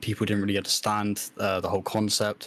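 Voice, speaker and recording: In a very clean recording with a silent background, a man with a British accent speaks at a moderate pace and a fairly low pitch. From UK. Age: 20s. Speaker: podcast co-host and streamer. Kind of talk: casual podcast chat. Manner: halting, many fillers.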